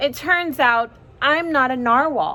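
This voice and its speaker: A woman puts on a high-pitched character voice. She speaks at a fairly slow pace. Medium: read story.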